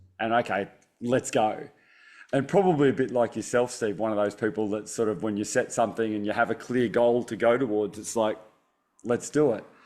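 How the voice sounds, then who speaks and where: Recorded very cleanly against a silent background, a man with an Australian accent talks at a moderate pace with ordinary pitch variation. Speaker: optometrist and stress resilience author. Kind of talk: interview conversation. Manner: halting, repeats words.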